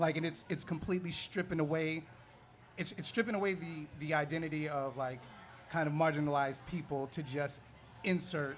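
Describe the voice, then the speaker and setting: Here is a man with an ordinary speaking voice. He talks fairly quickly with fairly even intonation. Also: fairly high pitch for a man. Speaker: comic book panelist. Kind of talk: live panel discussion. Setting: bar with live audience.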